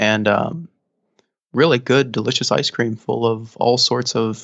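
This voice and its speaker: Delivered at a fairly slow pace in an American accent, this is a normal speaking voice. Loudness stays very even, with ordinary pitch variation. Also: man, medium pitch for a man. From United States. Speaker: musician, podcast guest. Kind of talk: casual interview chat.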